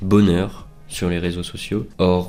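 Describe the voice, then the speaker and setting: Over music in the background and audible room echo, a man with a very deep, low voice speaks very slowly with fairly even intonation. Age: 20s. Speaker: student vlogger. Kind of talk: personal reflective monologue. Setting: home recording with headset mic. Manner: hesitant, many fillers.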